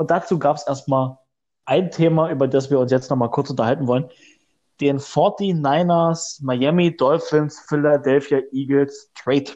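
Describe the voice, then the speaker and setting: A man with a fairly high voice and a dark, mellow tone talks at a fairly slow pace, his intonation fairly even and his loudness very even, against a quiet background. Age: 20s. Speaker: podcast co-host. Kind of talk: casual chat.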